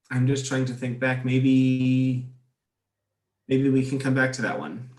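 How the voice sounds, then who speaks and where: A man with an American accent speaks at a fairly slow pace in a monotone, flat intonation. Room echo is audible. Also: medium pitch for a man. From United States. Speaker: expat interviewee. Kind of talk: interview. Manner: halting, repeats words.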